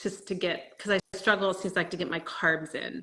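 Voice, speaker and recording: With fairly even intonation, a plain, everyday voice talks at a moderate speed. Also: woman. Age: 60s. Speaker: fitness coaching client. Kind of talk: casual interview.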